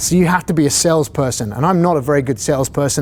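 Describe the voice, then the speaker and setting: A man with a British accent speaks at a very fast pace and a fairly high pitch. Noticeable background noise runs behind him. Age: 40s. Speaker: fire captain and instructor. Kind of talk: lecture. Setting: classroom, video recorded.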